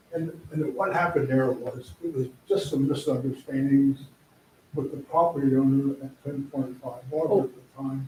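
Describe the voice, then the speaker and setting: Against noticeable background noise, a man with a fairly high pitch speaks at a moderate pace with fairly even intonation and big swings in loudness. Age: 80s+. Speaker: business owner speaking at public hearing. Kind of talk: public comment at council meeting. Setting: council meeting room. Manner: halting.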